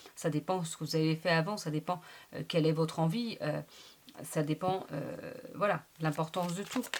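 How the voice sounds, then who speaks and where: Noticeable background noise runs beneath a woman talking at a moderate pace. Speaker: tarot reader. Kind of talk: tarot reading monologue. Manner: animated.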